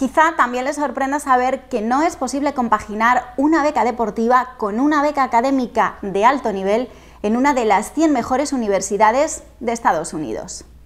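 A woman's high voice at a moderate pace with ordinary pitch variation. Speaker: presenter. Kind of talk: scripted presentation. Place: home room. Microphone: lapel.

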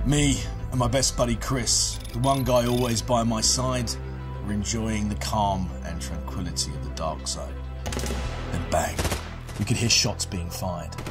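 The speech has long, frequent pauses. Music plays clearly in the background. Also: man. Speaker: narrator of war-zone documentaries and game stories. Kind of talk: dramatic story narration for a video game promo. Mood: gritty, intense, dramatic. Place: studio.

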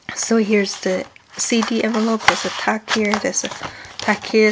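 Monotone, flat intonation at a moderate pace over light background noise. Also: woman. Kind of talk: tutorial. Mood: relaxed, cheerful.

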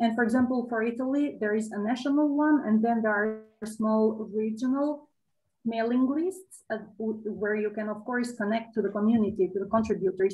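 Somewhat breathy delivery at a moderate pace. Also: woman. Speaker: OpenStreetMap expert speaker; host or moderator of online talk. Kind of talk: Q&A answer. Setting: video call. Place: home room. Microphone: webcam.

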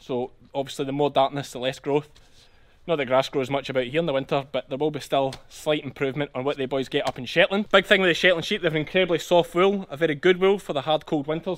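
The speaker talks very fast with a strong Scottish accent. Pitch moves in an ordinary way. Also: man, fairly high pitch for a man. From Ayrshire, South West Scotland. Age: 30s. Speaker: sheep farmer. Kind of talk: casual farm vlog talk to camera. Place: farm machine. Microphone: phone near.

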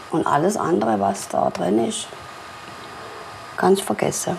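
Light noise sits in the background. Through it, a woman talks. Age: 60s. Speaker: pensioner, former electrical industry worker. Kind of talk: documentary interview answer. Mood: resigned, wistful. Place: home room. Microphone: lapel.

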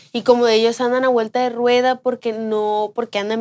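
With monotone, flat intonation and a moderate pace, a woman speaks at a fairly high pitch. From Sinaloa, Mexico. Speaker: podcast co-host. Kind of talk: casual chat. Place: studio.

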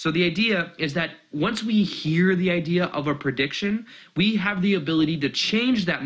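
A man's enthusiastic, passionate delivery at a moderate pace, with lively intonation against a quiet background. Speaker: spiritual teacher. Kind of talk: casual talk to camera. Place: home room.

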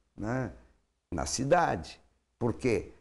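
The speaker moves at a very slow pace while the intonation stays lively. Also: man. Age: 70s. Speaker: mayoral candidate, politician; candidate, politician. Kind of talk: interview. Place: studio. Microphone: lapel.

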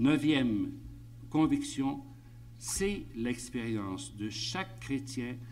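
A man speaks at a very slow pace. There is light background noise. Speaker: priest giving a conference talk. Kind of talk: lecture. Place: meeting room. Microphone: podium.

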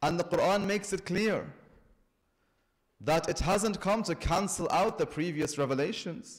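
A man talks in quiet surroundings, his pitch varying in an ordinary way. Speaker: religious lecturer. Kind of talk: sermon. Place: church. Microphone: podium.

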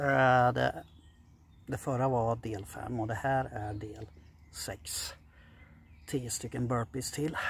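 A somewhat breathy man speaks at a very slow pace with ordinary pitch variation. The sound is dry with no echo, with light background noise. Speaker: fitness vlogger. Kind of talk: casual vlog chat. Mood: gritty, swearing, proud. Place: open country. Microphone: phone near.

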